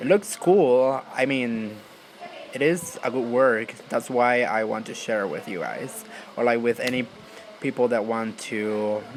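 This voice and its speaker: A man's medium-pitched voice at a fairly slow pace, ordinary pitch variation, and noticeable background noise. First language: not English. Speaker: YouTuber. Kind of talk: tutorial. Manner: casual, filler-heavy.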